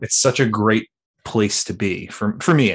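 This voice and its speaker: A man with an American accent and a normal speaking voice talks at a fairly low pitch and a fairly slow pace. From Philadelphia, US. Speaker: tabletop game designer. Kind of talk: casual interview.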